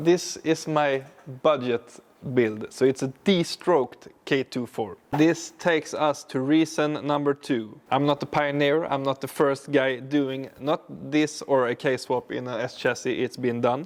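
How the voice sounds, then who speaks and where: A man's fairly high voice at a fairly slow pace, with fairly even intonation. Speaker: car builder, YouTuber. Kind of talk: tutorial. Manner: halting, with fillers.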